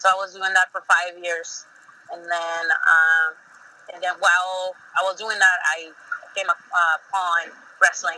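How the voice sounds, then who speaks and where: In a Spanish accent, a woman speaks at fairly low pitch with monotone, flat intonation and long, frequent pauses. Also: fairly slow pace. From Mexico. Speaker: professional wrestler. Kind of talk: interview.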